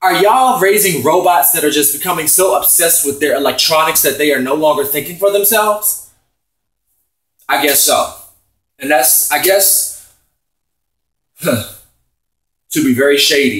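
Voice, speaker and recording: Loud and with lively intonation, a man speaks at a high pitch with long, frequent pauses and audible room echo. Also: moderate pace. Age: 30s. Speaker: vlogger. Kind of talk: opinion rant. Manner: animated.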